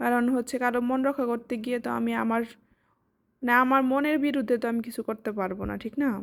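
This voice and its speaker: The recording is very clean, with a silent background. A woman talks in a high pitch with monotone, flat intonation. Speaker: lifestyle vlogger. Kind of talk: vlog voice-over.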